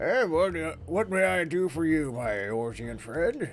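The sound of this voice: A man's gruff put-on character voice, fairly high and fairly slow, amid clear background noise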